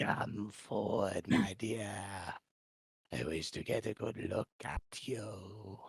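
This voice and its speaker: A man puts on a raspy character voice, pitched fairly low, with fairly even intonation. He speaks very slowly, with long, frequent pauses. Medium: actual play. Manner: polite yet sinister, coaxing.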